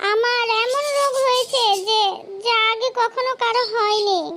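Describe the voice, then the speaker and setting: A cartoonish character voice, extremely high-pitched and fairly slow, over clear background noise. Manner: insistent, whiny.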